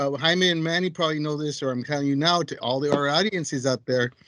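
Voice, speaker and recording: A plain, everyday voice talks at a fairly quick pace with fairly even intonation, the sound dry and close with no echo. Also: man. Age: 60s. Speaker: community peer co-host. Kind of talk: casual chat.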